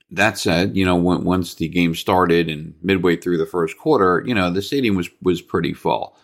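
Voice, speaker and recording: A man talks at a moderate pace with an American accent and a very deep, low pitch. Vocal fry runs through it, and the recording is very clean with a silent background. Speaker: sports podcast host. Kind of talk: solo sports commentary podcast. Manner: casual, stream of consciousness.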